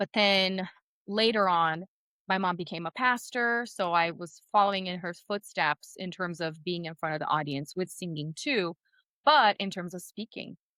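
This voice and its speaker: A woman with a medium pitch speaks at a moderate pace with ordinary pitch variation. Her tone is bright and sharp, and the sound is dry and close with no echo. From Brazil. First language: Portuguese. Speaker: speaking coach and singer. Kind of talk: podcast interview.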